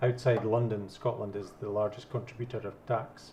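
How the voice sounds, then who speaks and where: Fairly quick, somewhat breathy speech from a man at a medium pitch, in a flat, monotone intonation. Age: 50s. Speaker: debate panelist, yes campaigner. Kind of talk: debate.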